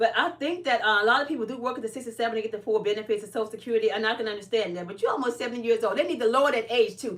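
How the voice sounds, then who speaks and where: Speaking in an American accent, a woman's pitch varies in an ordinary way. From Chicago, US Midwest. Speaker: live streamer and caregiver. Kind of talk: casual live stream chat.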